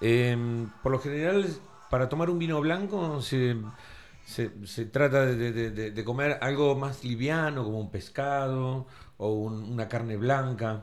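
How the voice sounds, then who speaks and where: A man speaks in an ordinary speaking voice at a medium pitch, fairly slow, with ordinary pitch variation. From Tandil, Argentina. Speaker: chef. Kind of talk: casual radio interview.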